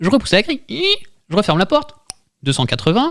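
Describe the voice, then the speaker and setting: The speaker is a man with very wide pitch swings. He talks fairly quickly. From France, Tours. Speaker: podcast host. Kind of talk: improv comedy game.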